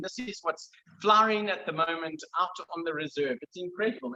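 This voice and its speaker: In a raised, projected voice, a man speaks at a fairly quick pace with lively intonation. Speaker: lodge manager presenting staff. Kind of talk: virtual tour presentation.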